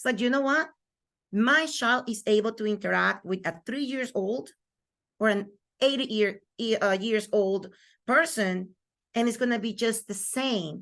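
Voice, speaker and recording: In a Spanish accent, a woman with a fairly high pitch and ordinary pitch variation speaks at a fairly slow pace with long, frequent pauses against a quiet background. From Venezuela. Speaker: microschool founder and homeschooling mother. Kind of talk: interview conversation.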